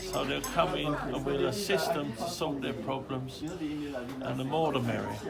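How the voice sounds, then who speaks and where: Noticeable background noise and audible echo from the room are present. A man speaks fairly slowly over them. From Tilbury, Essex, England. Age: 60s. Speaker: community volunteer. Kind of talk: casual interview.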